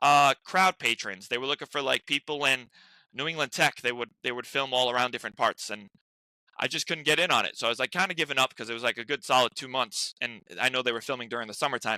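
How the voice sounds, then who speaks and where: Very fast and with an American accent, a man speaks at a medium pitch in a bright, sharp tone with ordinary pitch variation, the sound dry and close with no echo in a very clean recording over a silent background. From US Northeast, Rhode Island. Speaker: actor. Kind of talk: casual interview chat. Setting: podcast. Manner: animated; stuttering.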